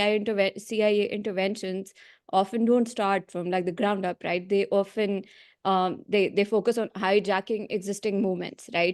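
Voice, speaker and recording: In a Pakistani accent, a woman talks at a medium pitch and a moderate pace. Her intonation is monotone and flat, against a quiet background. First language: Urdu. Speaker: meeting participant. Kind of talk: question in online meeting. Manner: halting.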